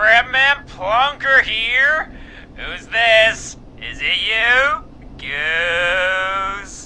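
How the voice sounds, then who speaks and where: A man's put-on character voice, high-pitched, raised and projected, with lively intonation at a very slow pace over clear background noise. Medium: video game. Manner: drawling, laid-back.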